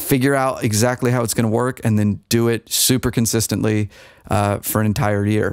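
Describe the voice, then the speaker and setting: This man speaks in a plain, everyday voice at a medium pitch. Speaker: ASMR content creator and podcaster. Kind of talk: casual podcast talk to camera. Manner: soft-spoken, conversational.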